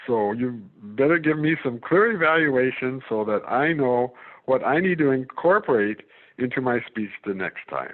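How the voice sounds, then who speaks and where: A man at medium pitch, with lively intonation at a moderate pace. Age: 60s. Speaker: club member giving a speech. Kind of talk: prepared speech. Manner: hesitant, with repetitions and fillers.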